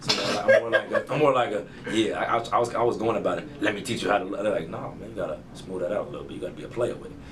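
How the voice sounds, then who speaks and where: A man at a very fast pace with hardly any pauses, big swings in loudness, audible room echo and noticeable background noise. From Chicago. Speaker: rapper. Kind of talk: casual interview.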